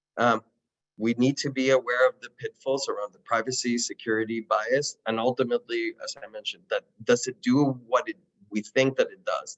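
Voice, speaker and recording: With a Spanish accent, a man speaks at a fairly quick pace. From Colombia. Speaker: city technology official and trainer. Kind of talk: virtual training presentation.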